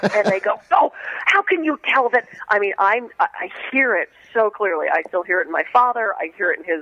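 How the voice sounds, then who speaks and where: An animated voice with an American accent at a fairly quick pace, very wide pitch swings, a dry, close sound with no echo, and noticeable background noise. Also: woman, fairly high pitch for a woman. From Pittsburgh, Pennsylvania, US. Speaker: alternative medicine practitioner and author. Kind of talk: radio interview. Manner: fast.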